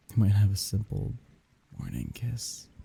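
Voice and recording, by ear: Putting on a character voice, a man with a fairly low pitch and a dark, mellow tone adds a husky, rough edge and vocal fry, with very wide pitch swings at a moderate pace.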